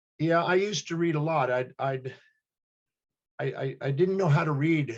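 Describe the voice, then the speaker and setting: The voice is somewhat breathy, with ordinary pitch variation. It moves at a fairly quick pace. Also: man. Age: 60s. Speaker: human behavior specialist and teacher. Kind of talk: interview.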